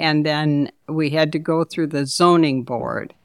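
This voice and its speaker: In a very clean recording with a silent background and a dry, close sound with no echo, a woman speaks at a fairly slow pace with a very deep, low pitch. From Detroit, Michigan. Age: 70s. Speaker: shelter co-founder. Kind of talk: casual interview.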